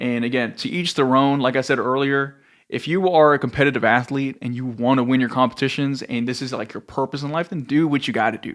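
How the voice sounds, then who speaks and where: A normal speaking voice comes at a fairly quick pace with hardly any pauses on a very clean recording over a silent background. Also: man, medium pitch for a man, fairly even intonation. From US South, Rio Grande Valley, Texas. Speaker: fitness coach. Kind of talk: casual vlog monologue. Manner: casual, conversational with filler.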